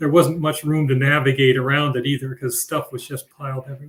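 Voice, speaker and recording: Speaking at a fairly quick pace, a man has a fairly high pitch and a monotone, flat intonation. His voice is somewhat breathy. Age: 70s. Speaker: family member of museum founders. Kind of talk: panel discussion. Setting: live stream video event. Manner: halting.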